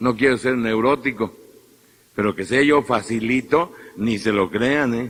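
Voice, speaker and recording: At a fairly slow pace, a man speaks with a Mexican accent. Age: 50s. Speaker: priest. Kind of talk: sermon. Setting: church.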